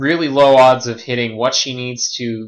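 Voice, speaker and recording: A man's unremarkable speaking voice, at a moderate pace with fairly even intonation. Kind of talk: game commentary audition.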